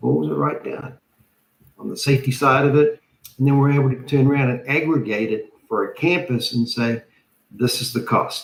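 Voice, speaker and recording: A man with a somewhat breathy voice and fairly high pitch talks at a moderate speed, his pitch varying in an ordinary way. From New Zealand. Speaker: structural engineer. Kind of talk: panel discussion. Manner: hesitant, many fillers.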